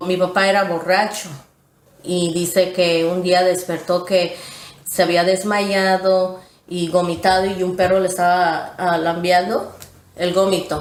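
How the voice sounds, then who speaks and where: Over noticeable background noise and audible room echo, a woman speaks at a medium pitch. Her pace is fairly slow and her intonation is monotone and flat. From Texas, Houston. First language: English (speaking Spanish). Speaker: former church member interviewee. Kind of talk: testimony.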